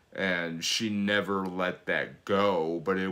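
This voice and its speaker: This man has a very deep, low pitch. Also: very clean recording, silent background. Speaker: fitness coach and channel host. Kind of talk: casual chat. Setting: video with spouse. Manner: loud.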